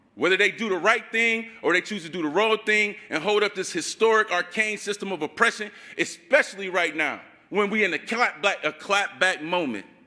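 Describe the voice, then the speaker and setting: A man speaks in a raised, projected voice with an American accent, his tone animated and his pitch high. His pitch varies an ordinary amount, and his pace is fairly quick. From Ohio, Akron. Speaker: community organizer, activist. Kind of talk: rally speech. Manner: impassioned, animated.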